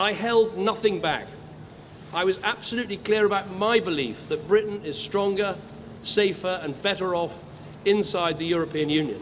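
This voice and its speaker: At a moderate pace and in a high pitch, a man delivers his words while noticeable background noise carries on. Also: ordinary pitch variation. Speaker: prime minister. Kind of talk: formal public statement.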